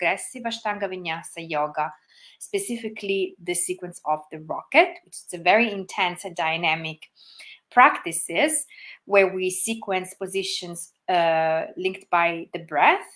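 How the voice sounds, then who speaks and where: Speaking with an Italian accent, a woman uses a medium pitch with ordinary variation. Her pace is moderate. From Italy. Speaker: yoga teacher. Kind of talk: livestream talk. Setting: Facebook livestream. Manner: soft-spoken.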